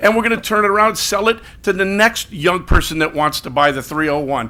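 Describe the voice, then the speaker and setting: Fairly quick and high-pitched, a man speaks in a raised, projected voice. His intonation is lively. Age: 60s. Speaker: business owner speaking at public comment. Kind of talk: public comment at council meeting. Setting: city council meeting. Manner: fast, hurried.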